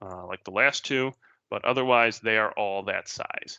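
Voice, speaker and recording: Here is a man with an ordinary speaking voice at a medium pitch. His pitch varies normally and his pace is moderate. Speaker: database technology speaker. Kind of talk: technical presentation with live demo. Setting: virtual meetup online talk.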